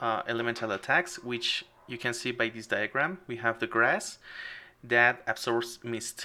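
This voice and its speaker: Fairly slow and fairly even in intonation, a man speaks with a non-native accent and a bright, sharp tone. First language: not English. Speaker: game developer streamer. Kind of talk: live game stream commentary. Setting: live stream. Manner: halting.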